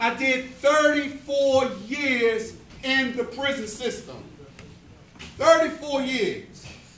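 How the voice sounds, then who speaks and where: A man talks at an extremely high pitch and a very slow pace, with long, frequent pauses. Noticeable background noise and audible room echo are present. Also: fairly even intonation. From US Northeast, North Philadelphia. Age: 60s. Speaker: prison reform minister. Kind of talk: motivational talk to youth. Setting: church hall with youth audience. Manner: earnest, emphatic.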